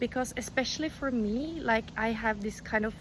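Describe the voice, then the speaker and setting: A somewhat breathy woman's voice, fairly high in pitch, in a Norwegian accent. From Norway. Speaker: crochet youtuber. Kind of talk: tutorial. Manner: casual, chatty with fillers.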